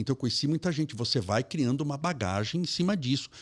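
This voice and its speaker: A man with a fairly high pitch talks very fast, somewhat breathy, with lively intonation. The recording is very clean with a silent background, and the sound is dry and close with no echo. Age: 60s. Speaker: spiritist lecturer. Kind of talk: interview conversation.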